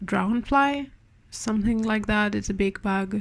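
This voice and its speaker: A woman is speaking. She has a Spanish accent. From Spain. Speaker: part-time artist. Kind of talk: art vlog voiceover. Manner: halting, many repetitions and fillers.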